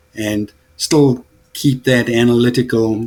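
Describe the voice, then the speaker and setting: A man talks at a medium pitch in a monotone, flat intonation. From South Africa. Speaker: business owner. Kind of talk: podcast conversation.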